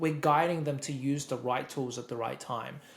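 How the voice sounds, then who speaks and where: A man with an Australian accent, fairly high-pitched, at a moderate pace. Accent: Australian, noticeable. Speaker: software expert. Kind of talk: interview explanation. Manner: repeats words often.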